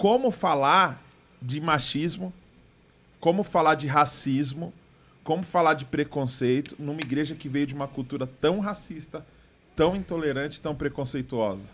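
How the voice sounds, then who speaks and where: Ordinary pitch variation marks this man's plain, everyday voice. His pitch sits fairly high. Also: fairly slow pace. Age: 20s. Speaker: podcast host. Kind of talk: casual chat.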